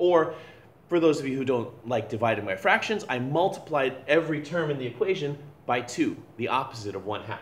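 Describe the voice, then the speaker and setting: A man at fairly high pitch with lively intonation, somewhat breathy and at a fairly quick pace, with audible room echo. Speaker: physics teacher. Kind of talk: lecture. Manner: fast; halting.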